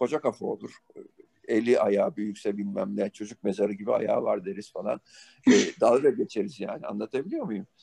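The sound is dry and close, with no echo. The pace is fairly quick. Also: man. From Turkey, Izmir. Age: 50s. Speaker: rock band bassist and songwriter. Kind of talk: interview conversation. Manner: hesitant, many filler sounds.

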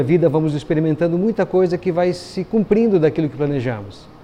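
This man's voice sits fairly high for a man, with ordinary pitch variation. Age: 50s. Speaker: pastor. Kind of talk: sermon. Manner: hesitant fillers.

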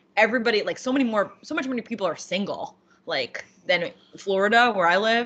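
Talking at a fairly quick pace, a woman with an unremarkable speaking voice uses lively intonation at a fairly high pitch. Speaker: podcast host. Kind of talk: casual chat.

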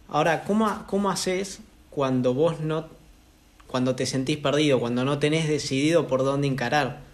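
A man talks at a moderate pace with a fairly high pitch and ordinary pitch variation. Audible room echo surrounds his voice. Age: 20s. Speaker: podcast host. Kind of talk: casual interview conversation.

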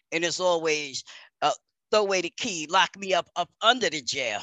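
In a New York accent, a woman speaks with a fairly low pitch, a bright, sharp tone and ordinary pitch variation, the sound dry and close with no echo over a quiet background. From New York City. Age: 50s. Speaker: peer support worker, former prisoner. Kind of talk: testimony.

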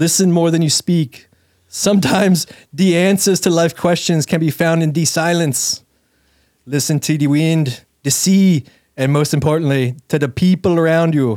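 A man talks at a moderate pace in an ordinary speaking voice. His pitch is fairly high with ordinary variation, and his loudness stays very even. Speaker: podcast co-host. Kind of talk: casual banter. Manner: joking.

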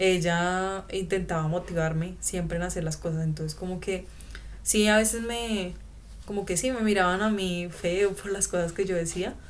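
Amid audible room echo, a woman with a Colombian accent speaks at medium pitch and a moderate pace, with fairly even intonation. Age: 20s. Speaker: former exchange student. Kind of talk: interview testimony. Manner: halting.

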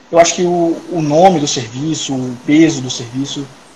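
Fairly slow, fairly even speech from a man, with noticeable background noise and audible room echo. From Salvador, Bahia, Brazil. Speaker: digestive surgeon. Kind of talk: casual interview.

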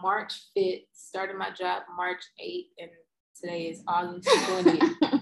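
A woman with a Mississippi accent talks at a medium pitch, her loudness swinging widely. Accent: Southern US (Mississippi). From US South, Mississippi. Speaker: scientist. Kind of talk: casual chat.

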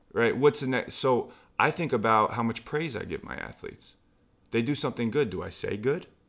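A man talks at a fairly quick pace in a normal speaking voice, at medium pitch with ordinary pitch variation. The recording is very clean, with a silent background. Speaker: former basketball player, trainer. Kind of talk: casual conversation.

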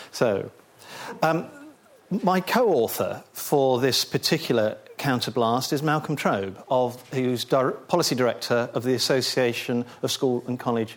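Medium in pitch, a man's voice shows ordinary pitch variation. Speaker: policy advisor and speaker. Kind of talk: seminar presentation then discussion. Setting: seminar room with audience. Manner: hesitant, repeats words.

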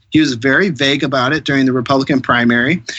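A man with an American accent and a fairly high pitch speaks at a very fast pace. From Columbus, Ohio, US Midwest. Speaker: political candidate. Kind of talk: interview.

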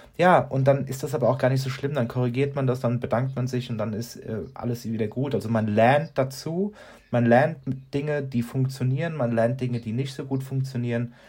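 A somewhat breathy man at medium pitch, fairly even in intonation, at a moderate pace. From Aschaffenburg, Lower Franconia, Germany. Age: 40s. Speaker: communications consultant and podcast co-host. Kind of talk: casual chat.

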